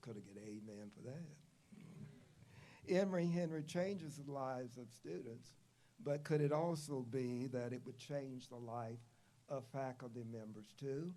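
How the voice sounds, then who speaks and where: A man with an Appalachian accent speaks at a fairly slow pace in a medium pitch with ordinary pitch variation. His tone is dark and mellow, and there is audible room echo. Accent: Appalachian Southern US. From US South, southwest Virginia (Glade Spring). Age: 70s. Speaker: retired professor, commencement speaker. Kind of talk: commencement speech.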